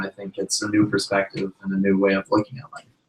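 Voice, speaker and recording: A man talks at a very fast pace. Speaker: blind musician. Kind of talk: live podcast discussion. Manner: loud.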